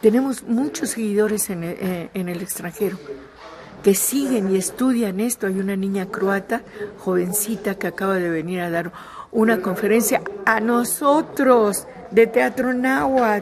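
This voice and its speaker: A woman speaks at a medium pitch with ordinary pitch variation and a fairly slow pace. Noticeable background noise runs underneath. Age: 70s. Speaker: theatre director. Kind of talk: interview.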